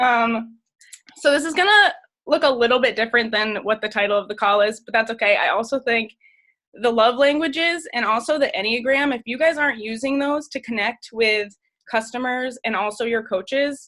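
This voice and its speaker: Bright and sharp in tone, a woman speaks with a high pitch and ordinary pitch variation. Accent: American. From northern US. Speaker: fitness coach. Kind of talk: team call presentation. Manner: fast.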